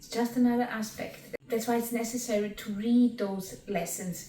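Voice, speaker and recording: Against noticeable background noise, a woman with a non-native accent talks at a fairly high pitch with fairly even intonation. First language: not English. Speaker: spiritual teacher and qigong instructor. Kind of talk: reading and commentary on spiritual text.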